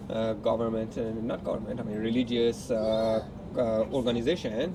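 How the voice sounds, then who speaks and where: A man speaks at medium pitch and a moderate pace. Background noise is noticeable, and the room echo is audible. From Iran, Tehran. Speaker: partner of the channel host. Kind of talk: casual chat. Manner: hesitant, many fillers.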